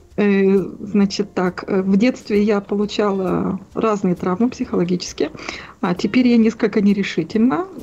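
Noticeable background noise sits behind a woman speaking at a moderate pace and medium pitch. Her intonation is fairly even and her loudness very even. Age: 40s. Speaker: caller. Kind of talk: phone-in conversation. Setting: phone call. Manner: halting.

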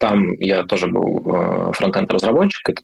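Using an unremarkable speaking voice, a man talks at a fairly slow pace with a fairly low pitch. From Siberia, Irkutsk region. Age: 30s. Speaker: product manager and mentor. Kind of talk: interview.

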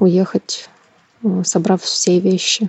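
Her pitch medium, a woman speaks in a monotone, flat intonation. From Ukraine, Kyiv. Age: 30s. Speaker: war refugee. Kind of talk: personal testimony.

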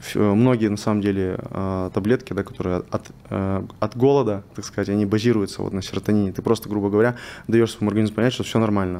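A dark, mellow tone at a very fast pace, with fairly even intonation. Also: man. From Russian Far East, Vladivostok. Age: 20s. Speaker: biohacking and nutrition specialist. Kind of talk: interview. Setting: studio.

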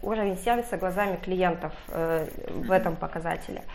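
A woman's voice with ordinary pitch variation. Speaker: team leader. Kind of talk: interview.

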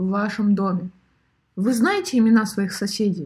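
A woman speaks at a fairly slow pace with a medium pitch and a somewhat breathy, animated tone. Her pitch varies in an ordinary way, and the recording is very clean with a silent background. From Siberia, Irkutsk. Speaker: podcast host. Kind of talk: monologue podcast.

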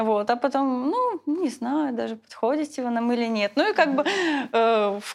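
Moderate pace and ordinary pitch variation. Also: woman. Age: 20s. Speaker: former cult member. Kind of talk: testimony.

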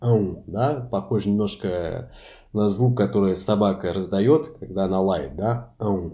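Very slowly and with lively intonation, a man speaks in a Portuguese accent, his fairly low voice carrying a dark, mellow tone. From France. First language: Portuguese (speaking Russian). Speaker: language lecturer. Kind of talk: interview.

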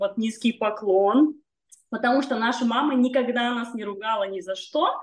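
Fairly high-pitched female speech, an unremarkable speaking voice with ordinary pitch variation at a moderate pace. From northern Kazakhstan. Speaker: magazine editor and singer. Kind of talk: casual interview chat.

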